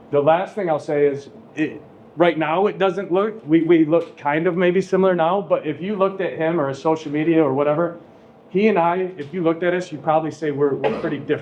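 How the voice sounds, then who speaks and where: Against audible room echo, a man with a fairly high pitch talks at a fairly quick pace with fairly even intonation. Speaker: high school teacher. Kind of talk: classroom talk introducing a guest speaker. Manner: monotone.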